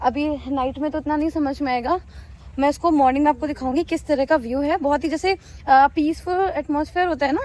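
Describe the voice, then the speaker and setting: With noticeable background noise behind her, a woman speaks loudly at a moderate pace, her high pitch held in fairly even intonation. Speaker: travel vlogger. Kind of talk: travel vlog.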